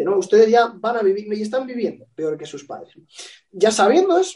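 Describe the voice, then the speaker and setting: Speaking fairly quickly with a Spanish accent, this man has a high-pitched voice. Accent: Peninsular Spanish. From Spain. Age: 30s. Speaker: political consultant. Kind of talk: interview.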